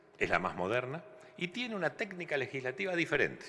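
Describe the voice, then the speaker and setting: A man's bright, sharp tone edged with vocal fry. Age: 60s. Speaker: former electoral official, lawyer. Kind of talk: testimony to legislative committee. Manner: halting, with filler words.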